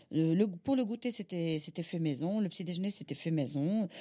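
A woman's fairly low, dark, mellow voice with lively intonation at a moderate pace, on a very clean recording with a silent background. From Algeria, Algiers. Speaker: caterer and mother. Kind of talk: interview testimony. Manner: halting, with repetitions.

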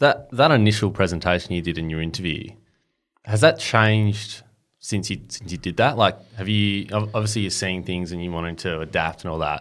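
Fairly low in pitch, this man speaks with an Australian accent. He talks at a fairly quick pace. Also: ordinary pitch variation, very clean recording, silent background. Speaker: podcast host. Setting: studio.

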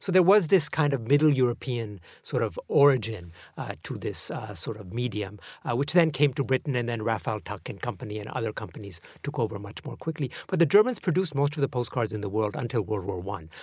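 A somewhat breathy voice with lively intonation speaks at a fairly quick pace in a very clean recording over a silent background. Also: man, medium pitch for a man. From Pakistan and Vienna, Austria. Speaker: postcard collector. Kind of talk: casual chat.

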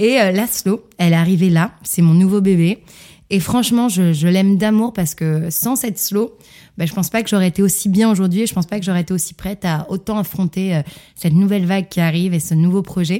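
A woman's voice with a dark, mellow tone, medium pitch and ordinary pitch variation moves at a fairly quick pace. The recording is very clean, with a silent background. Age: 30s. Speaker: fitness coach. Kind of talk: interview. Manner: animated.

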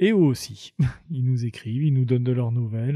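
Moving at a moderate pace, the somewhat breathy speech carries a dark, mellow tone. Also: man. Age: 50s. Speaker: youth employment counselor working in prisons. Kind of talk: interview.

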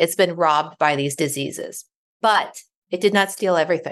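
A woman has an ordinary speaking voice with a fairly low pitch. Her intonation stays fairly even over a quiet background. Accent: American. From Ohio. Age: 40s. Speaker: author and wellness coach. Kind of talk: interview conversation.

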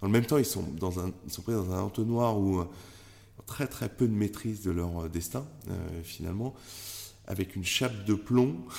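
Speech comes at a moderate pace with ordinary pitch variation and long, frequent pauses. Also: man, fairly low pitch for a man. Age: 40s. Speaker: tech entrepreneur. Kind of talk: interview. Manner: halting.

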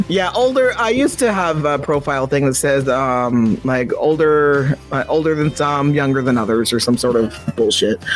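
Over music in the background, a man talks at a moderate pace with lively intonation, hardly any pauses and very even loudness. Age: 30s. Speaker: podcast host. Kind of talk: casual chat. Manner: casual, profane, laughing.

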